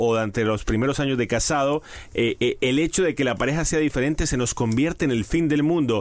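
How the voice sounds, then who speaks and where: Speaking with a Colombian accent, a man keeps a very even loudness in a fairly high pitch. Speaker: podcast co-host. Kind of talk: casual chat.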